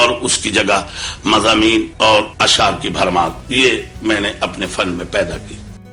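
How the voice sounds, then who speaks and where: Noticeable background noise surrounds a man whose intonation stays fairly even. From Uttar Pradesh, raised in Lahore. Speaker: qawwali singer. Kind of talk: interview answer.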